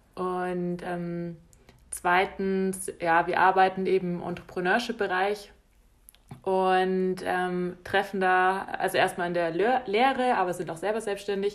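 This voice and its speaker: A woman's medium-pitched voice, very slow and flat in a monotone, on a very clean recording with a silent background. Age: 20s. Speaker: podcast co-host. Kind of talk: casual chat. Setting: small apartment.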